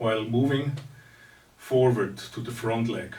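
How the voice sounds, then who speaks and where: A man speaks in a somewhat breathy voice with a non-native accent. His intonation stays fairly even, and audible room echo surrounds him. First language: not English. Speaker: martial arts teacher. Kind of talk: lecture. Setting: recorded seminar. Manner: halting.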